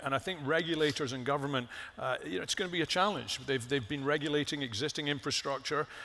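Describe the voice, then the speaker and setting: A man with a fairly high pitch, a bright, sharp tone and vocal fry talks at a very fast pace with ordinary pitch variation and hardly any pauses. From Scotland. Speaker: company executive. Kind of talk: panel interview.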